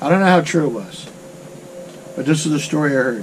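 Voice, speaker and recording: A man with an American accent speaks in a relaxed tone, his fairly high pitch rising and falling in lively intonation over noticeable background noise. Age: 70s. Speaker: desert off-road vlogger. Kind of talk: casual storytelling to camera. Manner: relaxed, rambling.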